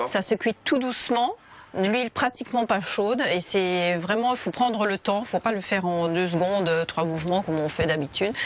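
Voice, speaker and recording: In an ordinary speaking voice, a woman talks at a medium pitch and moderate pace with ordinary pitch variation and very even loudness, the sound dry with no echo. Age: 40s. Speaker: restaurant owner and cook. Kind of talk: cooking demonstration. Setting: restaurant kitchen. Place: kitchen.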